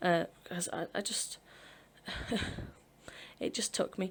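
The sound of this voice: A woman speaks slowly with fairly even intonation. Her voice sits fairly low and carries a slightly husky edge.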